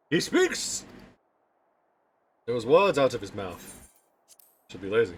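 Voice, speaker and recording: Somewhat breathy and at a medium pitch, a man speaks at a fairly slow pace with long, frequent pauses, very wide pitch swings and big swings in loudness. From Britain. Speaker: video game streamer. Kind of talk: live gameplay commentary.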